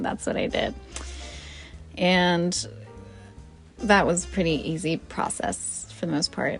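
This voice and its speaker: Soft-spoken, a woman talks with music in the background. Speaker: gamer and streamer. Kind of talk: casual talk to camera.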